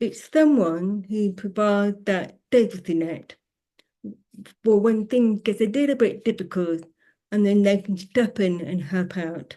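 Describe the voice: Speaking at a fairly slow pace, a woman uses a medium-pitched voice with a dark, mellow tone. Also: ordinary pitch variation.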